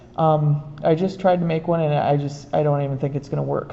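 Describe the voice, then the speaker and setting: The voice is a woman's. She speaks quietly. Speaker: art teacher. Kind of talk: tutorial. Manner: trying to talk quietly. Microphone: room echo.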